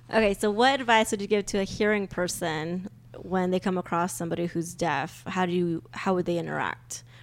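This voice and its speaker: A woman with a normal speaking voice at medium pitch, ordinary pitch variation and a fairly quick pace in a very clean recording with a silent background. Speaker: co-host and parent of deaf child. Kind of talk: casual interview chat.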